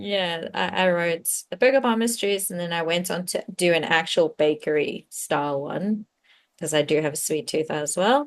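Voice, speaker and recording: Against a quiet background, a woman talks at a moderate pace with a South African accent. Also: fairly low pitch for a woman, lively intonation. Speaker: cozy mystery author. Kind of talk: casual interview chat.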